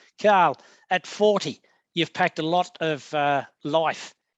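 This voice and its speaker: Against a quiet background, a man with an ordinary speaking voice talks at a fairly high pitch. His pitch varies in an ordinary way, and the sound is dry and close with no echo. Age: 60s. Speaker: business show host. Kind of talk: interview.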